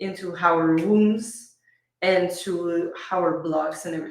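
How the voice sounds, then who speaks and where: A woman with a Quebec accent speaks very slowly at medium pitch, her intonation fairly even. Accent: French-Canadian accent in English. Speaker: business coach and speaker. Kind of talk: podcast interview. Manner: occasionally halting, searching for words.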